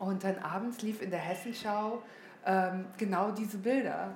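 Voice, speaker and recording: A woman's fairly even intonation amid noticeable background noise and audible room echo. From northern Hesse, Germany (near Kassel). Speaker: guest speaker at an art school event. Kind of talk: public interview on stage. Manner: halting, many fillers.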